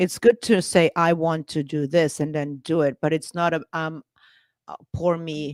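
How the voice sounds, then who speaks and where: A woman with a non-native accent speaks at a very deep, low pitch, a moderate pace and fairly even intonation. The recording is very clean, dry and close, with a silent background and no echo. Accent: foreign. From Austria, Klagenfurt. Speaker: podcast co-host. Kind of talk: casual chat.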